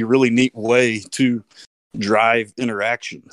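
A man speaks fairly slowly in a Texan accent. The recording is very clean with a silent background and a dry, close sound with no echo. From Texas. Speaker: community radio DJ. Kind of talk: casual chat.

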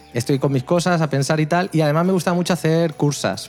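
A man's fairly high voice at a fairly quick pace over noticeable background noise. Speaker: tech content creator. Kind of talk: casual chat.

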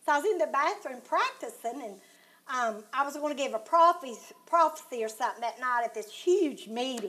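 Speaking at a moderate pace with a Southern US accent, a woman uses a high pitch and lively intonation. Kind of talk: devotional heart-to-heart chat.

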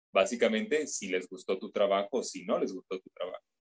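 A man speaks with a Mexican accent in a dry, close sound with no echo. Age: 30s. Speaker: voice actor. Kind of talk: interview. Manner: hesitant.

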